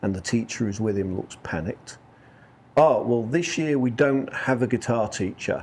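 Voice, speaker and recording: A man speaks with a northern English accent. His pitch sits at a medium level. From northern England. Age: 40s. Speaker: country musician. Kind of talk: interview. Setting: couch interview.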